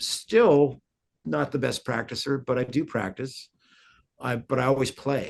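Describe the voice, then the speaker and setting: Speaking at a fairly slow pace, a man with a medium pitch shows vocal fry and ordinary pitch variation. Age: 60s. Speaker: guitarist. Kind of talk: interview. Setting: podcast interview. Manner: halting, many repeated words.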